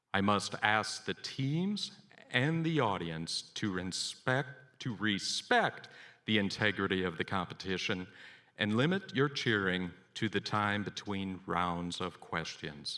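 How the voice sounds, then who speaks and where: Lively intonation marks a man's very slow speech. The recording is very clean, with a silent background. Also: fairly low pitch for a man. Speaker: quiz emcee. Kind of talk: event announcements. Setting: event hall with audience. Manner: formal.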